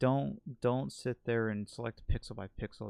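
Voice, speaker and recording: A man speaks in an unremarkable speaking voice at medium pitch, at a moderate pace with lively intonation. The sound is dry and close, with no echo. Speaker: gaming streamer. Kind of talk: tutorial. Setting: live stream. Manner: casual, filler-heavy.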